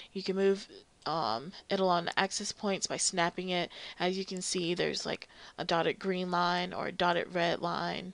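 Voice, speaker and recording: A woman's normal speaking voice, fairly low in pitch with fairly even intonation, at a moderate pace against a quiet background. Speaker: 3D modeling tutorial creator. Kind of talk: tutorial. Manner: casual, many filler ums.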